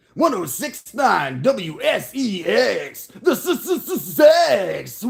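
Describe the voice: In a put-on character voice, a man speaks at a very slow pace with an extremely high pitch.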